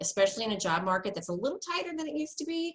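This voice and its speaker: A woman talks with an American accent and lively intonation. Her voice is somewhat breathy. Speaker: university career services staff. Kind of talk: webinar presentation. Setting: video call. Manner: fast; casual, many fillers.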